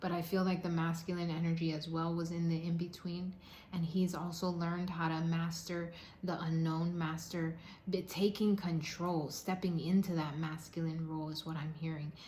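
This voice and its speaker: A woman's somewhat breathy, fairly low voice with monotone, flat intonation and a moderate pace, amid audible room echo. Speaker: tarot card reader. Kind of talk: tarot reading monologue. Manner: halting, stuttering at times.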